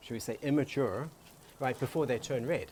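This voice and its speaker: A man at a moderate pace, fairly high pitched with ordinary pitch variation, against noticeable background noise. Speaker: co-host, floral designer and home gardener. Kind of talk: casual cooking show chat. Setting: outdoors in a backyard garden.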